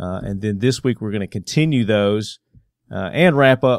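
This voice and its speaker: With a Southern US accent, a man of medium pitch talks at a moderate pace using lively intonation. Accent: southern twang. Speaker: gun podcast host. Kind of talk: casual podcast chat. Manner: casual, filler-heavy.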